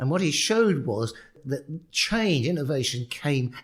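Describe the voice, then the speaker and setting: With a London accent, a man speaks at a fairly slow pace, somewhat breathy, his pitch swinging very widely. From London, England. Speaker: professor. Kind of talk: podcast interview. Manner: halting, repeats words.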